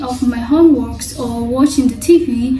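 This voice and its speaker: A high-pitched woman in a Somali accent at a fairly slow pace, with audible room echo and noticeable background noise. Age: 20s. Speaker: vlogger. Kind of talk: personal vlog monologue. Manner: halting.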